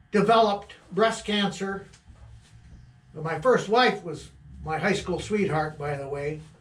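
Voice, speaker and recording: In an American accent, the speaker talks at a fairly slow pace with long, frequent pauses, ordinary pitch variation, big swings in loudness and audible room echo. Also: man, high pitch for a man. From Michigan, Midland County. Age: 70s. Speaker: trapper. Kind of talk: casual monologue. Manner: halting.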